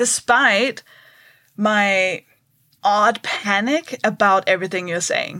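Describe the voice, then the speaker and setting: Speaking with a Danish accent, a woman has a bright, sharp tone at a medium pitch with ordinary pitch variation. Her pace is very slow, with long, frequent pauses. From Denmark. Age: 30s. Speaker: stand-up comedian. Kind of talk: casual interview. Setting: at home.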